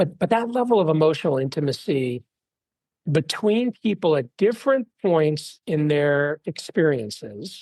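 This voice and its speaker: A man uses a normal speaking voice with a fairly high pitch. His intonation is lively. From Texas, Dallas. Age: 50s. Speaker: venture investor. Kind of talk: interview.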